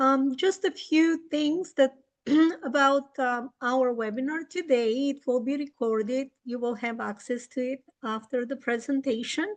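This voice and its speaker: The speaker has a Bulgarian accent and talks at a fairly slow pace. Pitch varies in an ordinary way. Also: woman, high pitch for a woman. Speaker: English teacher and webinar presenter. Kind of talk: webinar presentation.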